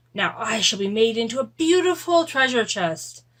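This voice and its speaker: A woman performs a put-on character voice. It sits fairly high in pitch and moves at a moderate pace. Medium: read story.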